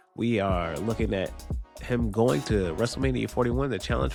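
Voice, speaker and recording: Music plays in the background. The speaker moves at a moderate pace with very wide pitch swings. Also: man. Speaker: wrestling commentator. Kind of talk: casual commentary video.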